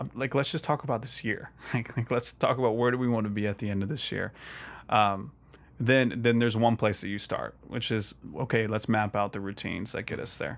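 Here a man of medium pitch talks at a fairly quick pace. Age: 30s. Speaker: faith podcast guest, ministry leader. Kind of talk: casual chat. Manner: animated.

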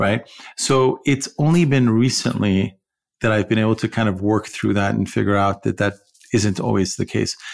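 On a very clean recording with a silent background, a man talks in an ordinary speaking voice at a fairly low pitch and moderate pace, with ordinary pitch variation and very even loudness. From Iran, raised partly in California. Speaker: podcast co-host. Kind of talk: casual chat.

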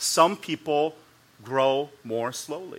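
An ordinary speaking voice from a man, pitched fairly high, its pitch varying in an ordinary way. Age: 40s. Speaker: pastor. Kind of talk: sermon.

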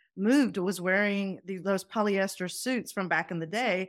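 Medium pitch from a woman at a moderate pace, with ordinary pitch variation, on a very clean recording with a silent background. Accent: slight Southern US. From Pakistan, then Atlanta Georgia. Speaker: professor and mentoring consultant. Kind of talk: casual interview chat.

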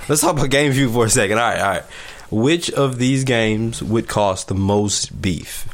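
With noticeable background noise, a man of medium pitch speaks at a moderate pace, his loudness very even and his pitch varying in an ordinary way. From US South, Alabama (near Selma). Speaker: podcast host. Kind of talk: casual chat.

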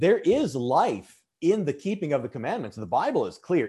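A man speaks in an American accent at a moderate pace. His voice is high in pitch with very wide pitch swings and a dark, mellow tone. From Michigan Upper Peninsula. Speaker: pastor. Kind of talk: casual interview conversation. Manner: halting, many repeated words.

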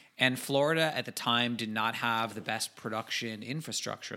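A man talks at a fairly quick pace in an ordinary speaking voice. His pitch is medium and his intonation fairly even. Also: hardly any pauses. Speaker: podcast co-host. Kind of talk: casual chat.

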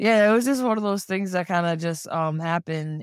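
Moderate pace and an American accent on a very clean recording with a silent background. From Rhode Island, US. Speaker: actor and former boxing champion. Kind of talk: interview.

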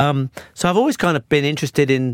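The speech moves at a very fast pace. The sound is dry and close, with no echo. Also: man. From southern England, Swindon. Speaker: former creative director, freelancer in creative AI. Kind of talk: casual interview chat. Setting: studio.

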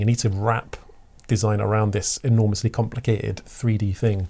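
A man with an Essex accent, fairly low in pitch, dark and mellow in tone, somewhat breathy, at a fairly quick pace with ordinary pitch variation. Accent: southern English (Essex). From Essex, England. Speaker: creative director. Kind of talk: casual interview chat.

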